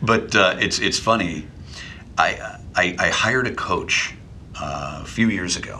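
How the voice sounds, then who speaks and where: The man's pitch varies in an ordinary way, with noticeable background noise in the recording. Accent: Midwestern. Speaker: voiceover artist, former radio DJ. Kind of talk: casual interview. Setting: studio office. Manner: witty, conversational.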